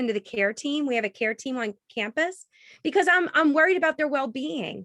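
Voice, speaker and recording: In a raised, projected voice, a woman with a high pitch and a bright, sharp tone speaks at a moderate pace, the sound dry and close with no echo. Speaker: professor and author. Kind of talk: virtual book talk with Q&A. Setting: video call. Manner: stammering repetitions.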